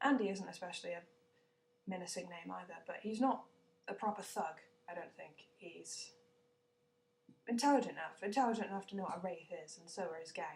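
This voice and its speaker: Speaking at a fairly quick pace with long, frequent pauses, a woman with a British accent sounds somewhat breathy. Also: medium pitch for a woman, ordinary pitch variation. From Britain. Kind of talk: casual vlog talk to camera.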